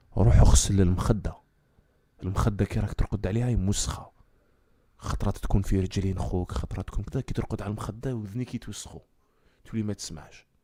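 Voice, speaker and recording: Speaking with an Algerian accent, a man has a fairly low pitch and a fairly quick pace. His speech has long, frequent pauses and big swings in loudness. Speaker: comedic storyteller / live streamer. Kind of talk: casual live-stream talk.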